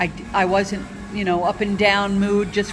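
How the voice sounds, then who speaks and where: A woman speaks at a moderate pace in a medium pitch with flat, monotone intonation, while music plays behind her and the room echo is audible. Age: 60s. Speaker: former nurse, keto dieter. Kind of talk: personal testimony. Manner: halting, many fillers.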